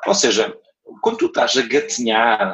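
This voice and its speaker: A man with a normal speaking voice talks at a moderate pace in a fairly high pitch. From Portugal, Algarve (Portimão). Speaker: entrepreneur. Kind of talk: interview. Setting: remote call.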